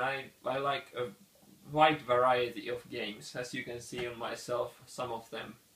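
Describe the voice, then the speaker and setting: A man at medium pitch with a non-native accent, monotone, flat intonation and a fairly slow pace. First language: not English. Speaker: board game reviewer. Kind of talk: casual channel introduction.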